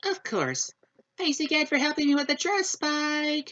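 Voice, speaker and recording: A woman's high-pitched, put-on character voice. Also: moderate pace. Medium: read story. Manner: genteel, refined.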